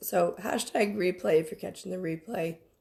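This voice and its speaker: At a moderate pace, a woman with a medium pitch and a dark, mellow tone speaks with ordinary pitch variation and vocal fry. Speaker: spiritual business coach. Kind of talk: livestream workshop. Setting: Facebook live stream. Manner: casual, chatty.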